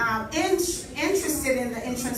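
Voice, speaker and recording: A woman with a slight Jamaican accent speaks at a high pitch. Noticeable background noise and audible room echo surround her voice. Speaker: political candidate. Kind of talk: campaign speech.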